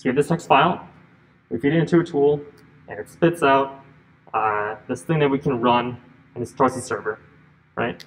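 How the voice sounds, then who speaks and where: A man at medium pitch with ordinary pitch variation and long, frequent pauses. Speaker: lecturer on compilers. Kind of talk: lecture. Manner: fast; halting, repetitive false starts.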